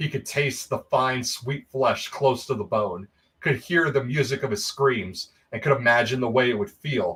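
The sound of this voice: An unforced reading voice carries the clip.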